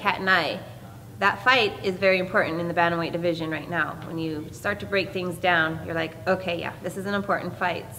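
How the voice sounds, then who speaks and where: A woman with an unremarkable speaking voice, medium pitch, fairly even intonation and a fairly quick pace, over light background noise. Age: 40s. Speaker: professional MMA fighter. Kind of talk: media day interview. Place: hall.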